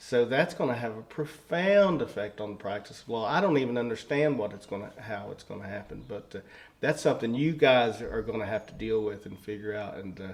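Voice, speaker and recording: A man with a Southern Appalachian accent talks at a fairly quick pace with hardly any pauses. His voice is medium in pitch, with lively intonation and big swings in loudness. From rural southwest Virginia. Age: 60s. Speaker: circuit court judge. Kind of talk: interview conversation. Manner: halting, many fillers.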